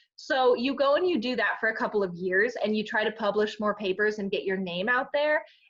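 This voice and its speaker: In an American accent, a woman with a fairly high voice talks at a fairly quick pace. Her intonation is lively, and she hardly pauses. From Michigan, Detroit. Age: 20s. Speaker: PhD student scientist. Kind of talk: podcast interview. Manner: casual, filler-heavy.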